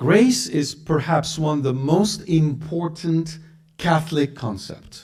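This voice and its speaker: The speaker is a man with a somewhat breathy voice. He goes at a very slow pace. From Lebanon. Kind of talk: religious lecture to live audience. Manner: blunt, direct.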